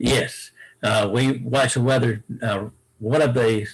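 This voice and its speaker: A man's somewhat breathy, medium-pitched voice with fairly even intonation. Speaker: stadium announcer. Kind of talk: interview answer.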